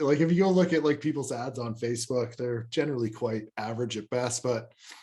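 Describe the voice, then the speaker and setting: The voice is an unremarkable speaking voice with lively intonation. It moves at a fairly quick pace. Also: man. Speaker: podcast co-host. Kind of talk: casual podcast chat.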